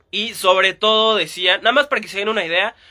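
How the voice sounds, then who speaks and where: A man at a moderate pace. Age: 20s. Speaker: sports podcast host. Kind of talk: casual solo podcast monologue. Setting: Instagram live stream.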